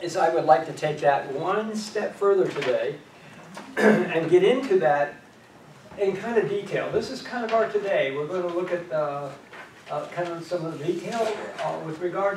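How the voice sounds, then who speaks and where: At a moderate pace and high pitch, a man speaks amid noticeable background noise and audible room echo. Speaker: class teacher. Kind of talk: lecture. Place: classroom. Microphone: camera far.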